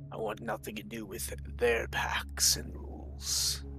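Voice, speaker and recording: A man talks at a fairly slow pace in a put-on character voice. Clear music plays in the background. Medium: actual play. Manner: cold, measured, aloof.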